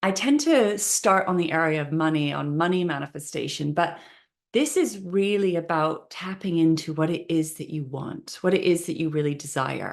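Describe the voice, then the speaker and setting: The woman's pitch is fairly low, with ordinary variation. She speaks at a moderate pace. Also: quiet background. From Canada, Vancouver. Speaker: manifestation coach. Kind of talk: online training session.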